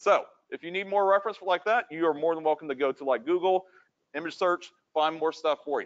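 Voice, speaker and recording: A loud, high-pitched man at a fairly quick pace with ordinary pitch variation. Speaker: 3D modeling instructor. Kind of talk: lecture.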